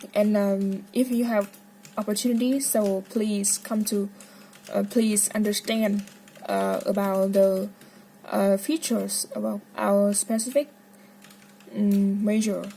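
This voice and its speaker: Over noticeable background noise, the speech moves at a very slow pace with fairly even intonation and long, frequent pauses. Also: woman, medium pitch for a woman. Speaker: medical student. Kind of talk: casual monologue. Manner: halting.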